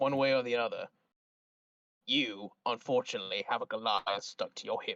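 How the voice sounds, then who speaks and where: A man in a put-on character voice sounds soft-spoken and raspy, with a solemn tone, a medium pitch and a moderate pace. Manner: solemn, reassuring.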